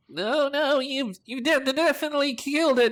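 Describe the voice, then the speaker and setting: A man's put-on character voice at an extremely high pitch and a moderate pace. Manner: chattering, stammering.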